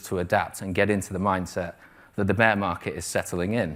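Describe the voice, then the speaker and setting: Very fast and fairly low in pitch, a man talks on a very clean recording with a silent background. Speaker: trading mentor. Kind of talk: live presentation. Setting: stage with audience.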